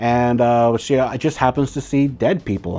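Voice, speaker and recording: A man speaks with an American accent. He keeps a moderate pace. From Arizona, Yavapai reservation near Phoenix. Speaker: book reviewer. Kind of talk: casual book review monologue. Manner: casual, many fillers and restarts.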